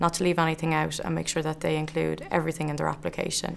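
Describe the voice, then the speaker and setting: A woman's fairly low voice comes through with vocal fry. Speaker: PhD student. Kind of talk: interview testimony. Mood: calm, positive, measured. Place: classroom. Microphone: lapel.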